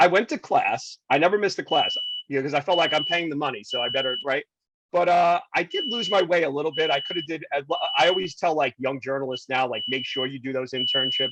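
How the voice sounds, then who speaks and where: Talking at a very fast pace, a man with an American accent uses a high pitch and lively intonation. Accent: New York accent (was strong in college). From New York City, Queens. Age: 50s. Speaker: TV news reporter. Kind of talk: podcast interview, casual chat. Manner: animated, conversational with false starts.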